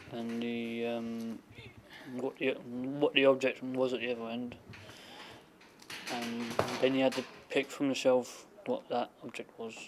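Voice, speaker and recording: Noticeable background noise sits behind a man speaking at a moderate pace. His medium-pitched voice is monotone and flat. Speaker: hospital intern. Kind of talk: video CV interview. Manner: halting with repetitions.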